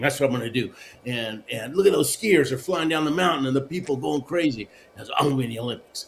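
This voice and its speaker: A fairly quick man's voice, fairly high in pitch, with ordinary pitch variation and noticeable background noise. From Argentina, then Houston, Texas. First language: Spanish. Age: 60s. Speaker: Olympic luge athlete and motivational speaker. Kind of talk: interview, life story. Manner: animated, with frequent fillers.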